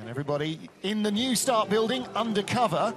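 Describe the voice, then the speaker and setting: Lively, fairly quick male speech over noticeable background noise. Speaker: sports commentator. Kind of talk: live commentary. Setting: outdoors at ice track, commentary booth.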